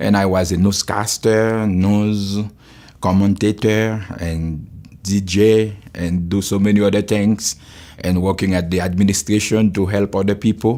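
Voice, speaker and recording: A man with a Haitian accent talks at a fairly slow pace in a fairly low, dark, mellow voice with monotone, flat intonation, in a very clean recording with a silent background. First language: Haitian Creole. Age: 60s. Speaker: pastor. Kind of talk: testimony.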